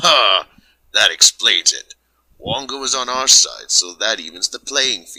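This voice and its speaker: A man cackles in a put-on character voice, speaking at a fairly slow pace. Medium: audio drama. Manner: smug, cackling.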